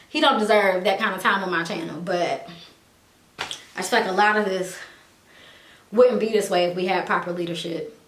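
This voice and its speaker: A woman talks at a moderate pace with long, frequent pauses, amid noticeable background noise and audible room echo. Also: medium pitch for a woman, ordinary pitch variation. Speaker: YouTuber. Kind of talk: vlog venting monologue. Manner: halting.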